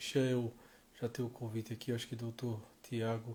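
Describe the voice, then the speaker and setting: Speaking at a fairly quick pace, a man has a regional Brazilian accent and a medium pitch. His voice is somewhat breathy, with a dark, mellow tone. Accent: noticeable regional Brazilian. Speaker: live stream host, professor. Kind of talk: live stream conversation. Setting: online live stream.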